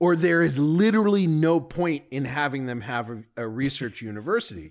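The recording is very clean, its background silent. A man speaks in a fairly high pitch. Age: 50s. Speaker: venture capitalist. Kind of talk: casual chat. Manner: halting.

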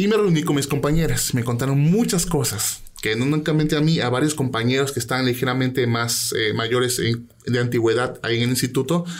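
A man with medium pitch and ordinary pitch variation talks at a fairly quick pace. His loudness stays very even over noticeable background noise. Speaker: guest who shares paranormal stories. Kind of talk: ghost story telling. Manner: animated, vivid storytelling.

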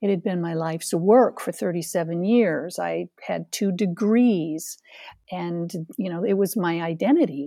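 A woman with an American accent speaks at a fairly low pitch in a dark, mellow tone, with ordinary pitch variation over a quiet background. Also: fairly slow pace. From central New York State. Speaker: life coach. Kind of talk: interview.

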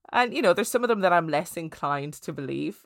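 A woman with an Irish Midlands accent speaks in a fairly low voice with lively intonation, on a very clean recording with a silent background. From Ireland, County Laois. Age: 30s. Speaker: podcast host and theatre performer. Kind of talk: casual interview storytelling.

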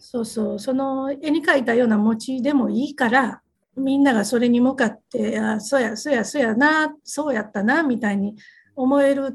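Speaking with a Kansai accent, a woman talks at a moderate pace. Her pitch is high, with ordinary variation. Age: 50s. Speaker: company president. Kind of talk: interview. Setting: video call.

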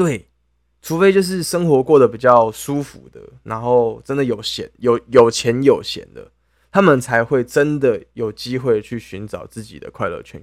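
In a very clean recording with a silent background, a man with a Taiwanese accent speaks at a moderate pace and medium pitch, with ordinary pitch variation and big swings in loudness. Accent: Taiwanese Mandarin. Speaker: podcast co-host. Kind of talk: casual chat.

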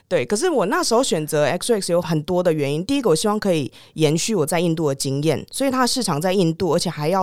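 Lively intonation and a fairly quick pace in a Taiwanese accent, on a very clean recording with a silent background. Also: woman. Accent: Taiwanese Mandarin. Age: 30s. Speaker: former foreign correspondent, tech startup executive. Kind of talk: interview.

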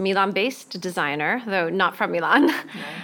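A woman speaks at a medium pitch. She has an ordinary speaking voice. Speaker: podcast host and travel journalist. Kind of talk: interview. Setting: designer's showroom.

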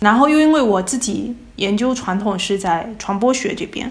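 Room echo is audible as a woman speaks. She keeps a moderate pace with ordinary pitch variation. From China, Fujian province. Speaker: postdoctoral researcher in theatre and culture. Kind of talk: casual conversational interview. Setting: remote call from abroad.

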